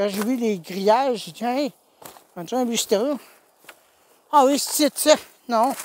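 Extremely high-pitched man with a Quebec accent, ordinary pitch variation and a moderate pace in a dry, close sound with no echo. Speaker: YouTuber scavenging a dump. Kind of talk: vlog narration.

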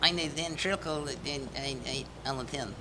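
Over loud background noise, a man does a put-on character voice at a fairly high pitch and a moderate pace.

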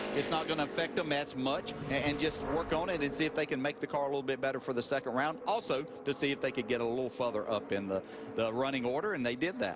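Very fast male speech with hardly any pauses, fairly high pitch, lively intonation and very even loudness, over noticeable background noise. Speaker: race commentator. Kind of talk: live race commentary, pit and practice analysis. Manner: analytical, conversational play-by-play.

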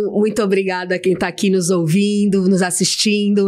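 The voice belongs to a woman with a medium pitch. She keeps a moderate pace. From São Paulo, Brazil. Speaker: storytelling specialist. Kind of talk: casual interview chat. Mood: warm, friendly. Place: studio. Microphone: studio mic.

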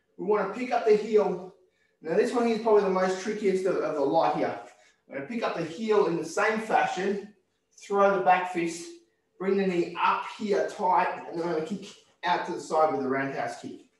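A man's voice, high in pitch, rings with audible room echo. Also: ordinary pitch variation. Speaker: karate instructor. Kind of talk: tutorial. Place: gym. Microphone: video call.

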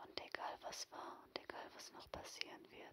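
A whispering voice carries a soothing, warm tone. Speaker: ASMR video creator. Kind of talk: ASMR personal attention, guided relaxation. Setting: headphones-oriented home recording, no camera. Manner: soft, slow, soothing, reassuring; intimate, warm, directly addressing the listener.

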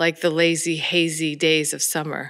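Over a quiet background, a woman speaks at a very slow pace. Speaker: church minister. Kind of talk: worship welcome and announcements. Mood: warm, gentle, pastoral. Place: church. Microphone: podium.

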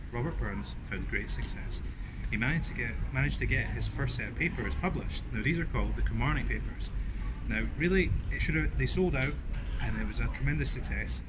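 With noticeable background noise behind it, the talking runs fairly quickly. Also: man. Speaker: history vlogger. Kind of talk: casual history presenting to camera. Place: street.

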